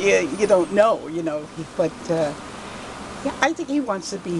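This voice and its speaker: A woman speaks at a moderate pace with a New York accent and ordinary pitch variation over noticeable background noise. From New York City (Queens). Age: 80s+. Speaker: shop owner. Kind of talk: interview. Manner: casual, halting.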